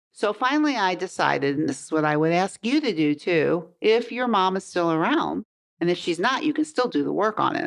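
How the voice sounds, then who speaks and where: A woman talks at a fairly quick pace with hardly any pauses, her loudness very even throughout. Her medium-pitched voice carries vocal fry and makes very wide pitch swings. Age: 70s. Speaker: podcast host, life and weight coach. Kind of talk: podcast monologue. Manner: conversational.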